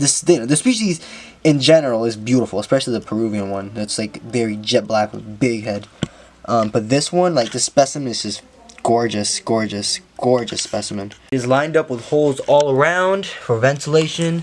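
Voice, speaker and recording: With lively intonation and a medium pitch, a man talks at a moderate pace while noticeable background noise is heard. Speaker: exotic pet keeper and video creator. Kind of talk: casual vlog talk to camera. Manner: halting, with many fillers and repetitions.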